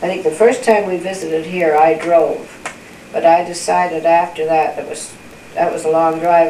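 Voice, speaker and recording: Fairly low-pitched woman's voice amid noticeable background noise. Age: old. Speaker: grandmother. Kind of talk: family interview answer.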